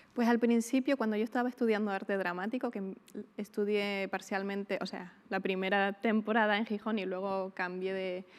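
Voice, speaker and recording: A woman speaks with a strong Canarian accent at medium pitch. Her pace is moderate and her intonation fairly even. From Canary Islands (El Hierro). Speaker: actress. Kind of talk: interview.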